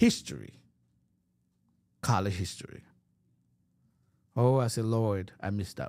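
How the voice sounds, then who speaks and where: With a Haitian accent, the speaker talks at a fairly slow pace. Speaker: preacher. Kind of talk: sermon. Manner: halting.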